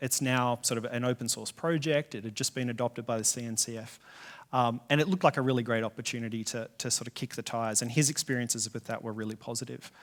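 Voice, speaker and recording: A man with an Australian accent talks at a very fast pace, his medium pitch carried on fairly even intonation. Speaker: software engineer, conference speaker. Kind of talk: conference talk. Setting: stage with audience.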